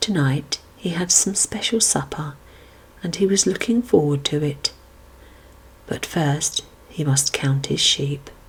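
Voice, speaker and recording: Soft-spoken and fairly slow, the speech has long, frequent pauses, with noticeable background noise behind it. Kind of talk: read-aloud children's Bible story.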